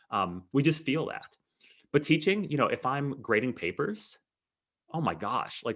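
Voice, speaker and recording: Against a quiet background, a man speaks in an animated tone at a fairly high pitch. His intonation is lively, with vocal fry. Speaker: math educator. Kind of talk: webinar lecture. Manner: fast.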